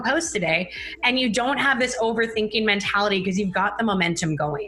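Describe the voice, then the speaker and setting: A woman's fairly high voice at a very fast pace, over noticeable background noise. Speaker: Instagram marketing business founder. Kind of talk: casual interview. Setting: live stream.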